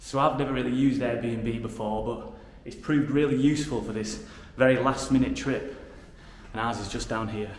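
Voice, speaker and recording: A man with a northern English accent speaks at a medium pitch and a fairly quick pace. Noticeable background noise and audible room echo fill the recording. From Yorkshire, northern England. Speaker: travel vlogger. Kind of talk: casual vlog narration. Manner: casual, chatty.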